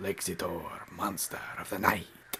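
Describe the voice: Whispering in a put-on character voice with a Transylvanian accent, a man speaks fairly slowly over loud background noise.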